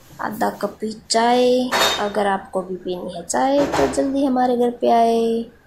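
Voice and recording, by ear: A woman speaks with fairly even intonation. Room echo is audible.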